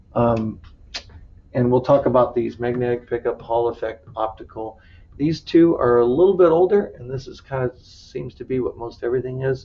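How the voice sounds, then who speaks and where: A man speaks at a medium pitch. His loudness swings widely, while his pitch varies in an ordinary way. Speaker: automotive instructor. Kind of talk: lecture. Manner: fast.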